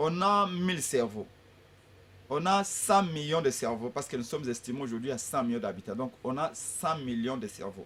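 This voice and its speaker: A man speaks at a moderate pace with very wide pitch swings. He leaves long, frequent pauses. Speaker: opposition politician. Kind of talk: political debate. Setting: radio/TV studio. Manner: forceful, emphatic; halting with repetitions. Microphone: sitting far from the mic.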